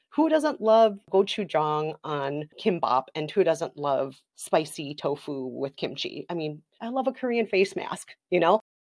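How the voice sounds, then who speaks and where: A woman's fairly low voice with an American accent, fairly slow and almost without pauses, swinging very widely in pitch, dry and close with no echo, over a quiet background. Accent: Minnesotan, noted by listeners. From Minnesota. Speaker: podcaster and culture critic. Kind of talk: interview.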